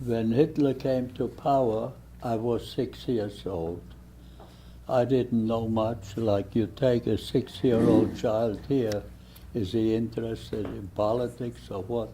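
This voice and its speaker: Speaking very slowly, a man uses a German accent. His pitch is medium, with ordinary variation. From Germany (Hesse, rural village). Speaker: Holocaust survivor. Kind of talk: testimony.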